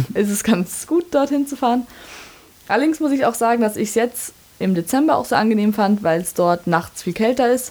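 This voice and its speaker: Noticeable background noise surrounds a woman's fairly high voice. Her pitch swings very widely. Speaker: university student. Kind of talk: interview.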